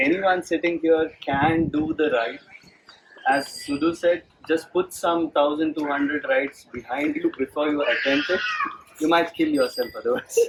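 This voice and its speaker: Amid noticeable background noise, a soft-spoken man talks at a fairly slow pace in a fairly high voice. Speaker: amateur cyclist. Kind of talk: talk to an audience.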